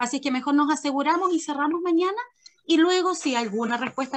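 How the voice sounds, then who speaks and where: Very fast and high-pitched, a woman rattles through her words. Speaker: school pedagogical coordinator. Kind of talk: staff meeting briefing.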